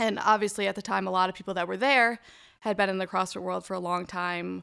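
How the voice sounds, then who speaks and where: On a very clean recording with a silent background, a woman with an ordinary speaking voice talks at a medium pitch and a fairly quick pace with fairly even intonation. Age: 20s. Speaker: law student. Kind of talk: casual chat.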